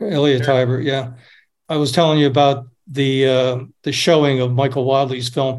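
Audible room echo surrounds speech delivered at a moderate pace in a monotone, flat intonation. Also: man, medium pitch for a man. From upstate New York. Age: 70s. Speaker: documentary director. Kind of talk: casual chat. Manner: halting.

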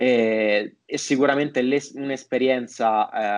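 A man talks with monotone, flat intonation. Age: 20s. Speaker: marketing entrepreneur. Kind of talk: podcast interview.

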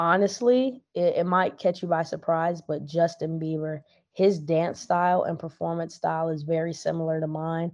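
A woman with an American accent speaks in a plain, everyday voice, fairly low in pitch, at a moderate pace. Her intonation is fairly even, with hardly any pauses, over a quiet background. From Virginia, US East Coast. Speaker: rapper and singer. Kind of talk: casual interview.

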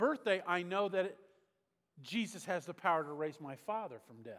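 Pitch swings very widely. The speaker is a man. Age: 60s. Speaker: pastor. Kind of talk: sermon. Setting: church.

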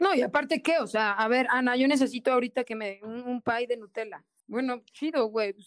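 A woman talks fairly quickly in a high voice with a Mexican accent. Her pitch varies in an ordinary way, and the sound is dry and close with no echo. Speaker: podcast co-host. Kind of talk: casual chat. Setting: remote call, in the mountains of Puebla.

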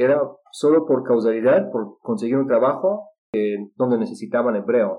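At a moderate pace, a man speaks in a medium pitch that moves in very wide swings. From Israel. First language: Russian (speaking Spanish). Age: 30s. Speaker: polyglot and English teacher. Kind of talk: interview. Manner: halting with fillers.

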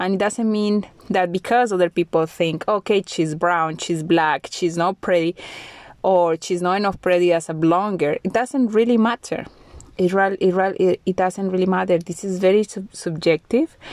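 Speaking at a moderate pace with a Spanish accent, a woman has a medium pitch and ordinary pitch variation, recorded with a dry, close sound and no echo. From Colombia. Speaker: podcast host. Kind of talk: solo monologue podcast.

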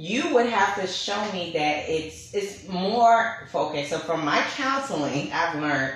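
A woman with a fairly low pitch speaks at a fairly slow pace, hardly pausing, with lively intonation. Audible room echo and noticeable background noise are present. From Brooklyn, New York. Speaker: podcast host. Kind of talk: casual chat. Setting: studio.

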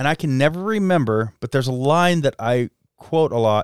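A man with a plain, everyday voice speaks with an American accent at a fairly high pitch and moderate pace. His intonation is lively, and the sound is dry and close with no echo. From southern Idaho, Jerome. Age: 40s. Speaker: podcast host. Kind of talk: casual chat.

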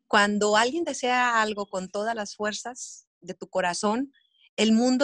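Against a quiet background, a woman talks at a fairly slow pace and fairly high pitch, in an ordinary speaking voice. The sound is dry and close, with no echo. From Sonora, Mexico. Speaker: TV news journalist. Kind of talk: casual chat. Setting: video call.

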